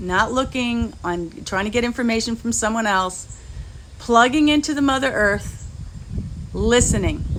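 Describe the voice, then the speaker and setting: At a fairly slow pace, a woman talks at a fairly high pitch with ordinary pitch variation, and there is audible room echo and noticeable background noise. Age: 60s. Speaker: spiritual healer. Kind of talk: spiritual talk.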